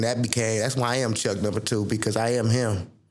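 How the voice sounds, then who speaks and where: A man speaks in a medium pitch. Music sits in the background, and there is audible room echo. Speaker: podcast host. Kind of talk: casual chat. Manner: freestyle, animated.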